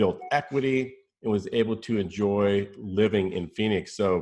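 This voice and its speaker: A man with an ordinary speaking voice, fairly low pitch, ordinary pitch variation and a moderate pace. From US Southwest (New Mexico, Arizona). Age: 50s. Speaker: real estate agent. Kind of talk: casual chat.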